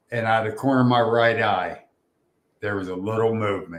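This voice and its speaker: A man talks at a medium pitch. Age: 60s. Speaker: Bigfoot researcher. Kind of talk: encounter story in casual chat. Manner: animated.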